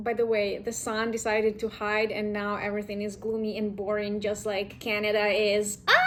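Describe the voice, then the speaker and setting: A woman with a Ukrainian accent, monotone and flat, with hardly any pauses, amid noticeable background noise and audible room echo. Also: moderate pace. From Ukraine. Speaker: vlogger. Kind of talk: casual vlog talk.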